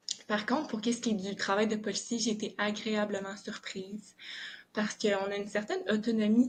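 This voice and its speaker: A woman speaks at a moderate pace in a somewhat breathy, fairly high voice with fairly even intonation. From southern Quebec. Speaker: police officer. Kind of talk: podcast interview. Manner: hesitant, many filler words.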